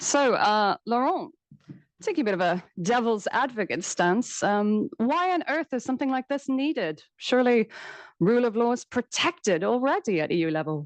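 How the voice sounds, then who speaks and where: In an Irish accent, a woman with a fairly high pitch and very wide pitch swings speaks over a quiet background in a dry, close sound with no echo. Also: moderate pace, very even loudness. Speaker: panel moderator, academic. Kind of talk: moderating a panel discussion. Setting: conference room with live and online audience.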